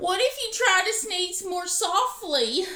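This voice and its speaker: Delivered at a fairly slow pace, a put-on character voice comes across raised and projected. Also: woman, extremely high pitch for a woman. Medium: read story.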